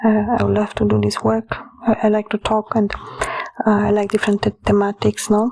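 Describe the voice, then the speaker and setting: A woman speaks at a fairly quick pace with very even loudness. The sound is dry and close with no echo, though background noise is noticeable. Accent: Romanian. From Romania. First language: Romanian. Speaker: author and occult practitioner. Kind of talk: casual monologue. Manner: hesitant, many fillers.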